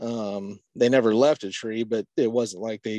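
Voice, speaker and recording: In an American accent, a man talks with fairly low pitch and fairly even intonation. The quiet background and dry, close sound carry no echo. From Eastern Washington, US. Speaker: hunting guide and houndsman. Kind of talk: casual interview. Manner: halting, many fillers.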